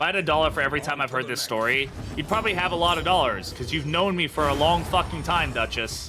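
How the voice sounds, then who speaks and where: Backed by music, a man with an American accent talks very fast in a fairly high voice with ordinary pitch variation and hardly any pauses. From United States. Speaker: streamer. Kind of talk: live gameplay commentary.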